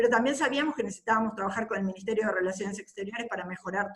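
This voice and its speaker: Noticeable background noise is present. Over it, a woman's medium-pitched voice shows ordinary pitch variation. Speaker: government agency official. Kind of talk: panel presentation. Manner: fast.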